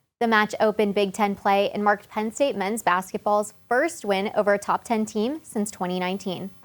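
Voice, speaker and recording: At a moderate pace and with hardly any pauses, a woman uses an unremarkable speaking voice with medium pitch and ordinary pitch variation. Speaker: student sports broadcaster. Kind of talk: sports news report.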